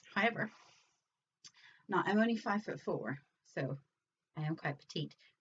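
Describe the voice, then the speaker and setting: A woman speaks in a somewhat breathy voice. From Northern Ireland. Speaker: crafting vlogger. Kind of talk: casual vlog show-and-tell.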